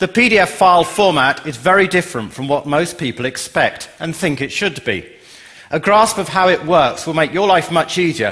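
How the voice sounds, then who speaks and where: A man's high pitch with an English accent, lively intonation and a moderate pace. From England. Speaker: software company CEO. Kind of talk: conference talk.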